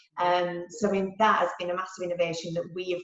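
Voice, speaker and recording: A woman speaks with a Yorkshire accent in a fairly low pitch. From Yorkshire, England. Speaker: marketing executive. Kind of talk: interview answer.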